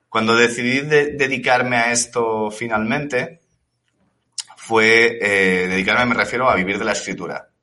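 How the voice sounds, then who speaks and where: A man talks at medium pitch and a moderate pace. His tone is bright and sharp, with ordinary pitch variation. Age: 30s. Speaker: novelist. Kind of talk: interview.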